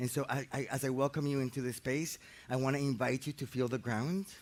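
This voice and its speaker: A man talks at a fairly quick pace with a Spanish accent. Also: very clean recording, silent background. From Colombia, Medellin. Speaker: architect and facilitator. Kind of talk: guided meditation introduction talk. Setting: outdoors in a park. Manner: halting, repeats words.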